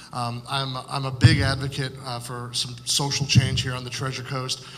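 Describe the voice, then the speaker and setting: In an American accent, a man with a medium pitch talks at a fairly quick pace in a monotone, flat intonation. Noticeable background noise and audible room echo are present. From Florida (Fort Pierce). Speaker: political candidate. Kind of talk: candidate forum opening statement. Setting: public forum with audience. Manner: frequent filler words (uh, um).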